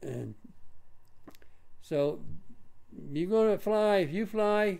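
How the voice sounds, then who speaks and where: A man's high voice has a dark, mellow tone and ordinary pitch variation. He speaks at a very slow pace. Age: 80s+. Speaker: drone hobbyist vlogger. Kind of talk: monologue rant. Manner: halting, repetitive stammers.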